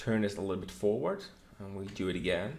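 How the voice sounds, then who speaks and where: The voice has lively intonation and vocal fry. Room echo is audible. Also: man. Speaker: 3D modeling instructor. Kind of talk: tutorial.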